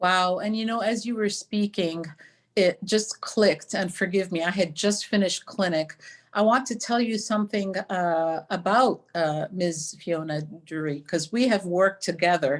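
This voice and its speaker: A woman with an American accent speaks at a moderate pace in a medium pitch, her pitch varying in an ordinary way. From US Midwest (East Lansing, Michigan). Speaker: physician and webinar host. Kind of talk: panel discussion.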